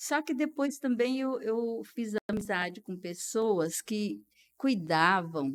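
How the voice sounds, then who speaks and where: A woman with a medium pitch talks at a very slow pace with lively intonation. The recording is very clean, with a silent background. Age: 70s. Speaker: retired dentist. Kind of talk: podcast interview, life story.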